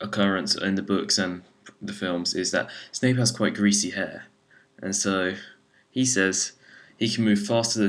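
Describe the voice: The clip is plain reading aloud. Its pitch rises and falls in an ordinary way.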